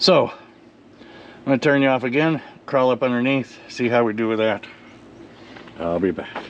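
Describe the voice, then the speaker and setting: A man speaks fairly slowly, with noticeable noise audible behind him. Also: medium pitch for a man, ordinary pitch variation. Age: 60s. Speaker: hot rod mechanic. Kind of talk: casual talk to camera.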